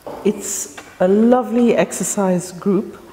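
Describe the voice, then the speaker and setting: Noticeable background noise accompanies a woman speaking at a medium pitch with ordinary pitch variation. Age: 60s. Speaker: community group member. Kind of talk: interview testimony.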